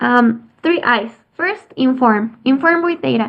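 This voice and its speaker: With a Spanish accent, a woman speaks in a high pitch. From Mexico. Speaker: youth climate advocate, biotechnology engineer. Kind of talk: presentation. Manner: halting.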